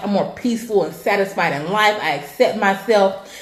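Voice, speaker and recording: A woman with an American accent, medium in pitch, fairly quick in pace and animated in tone, amid noticeable background noise and audible room echo. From California. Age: 20s. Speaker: weight loss coach and vlogger. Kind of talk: personal testimony vlog.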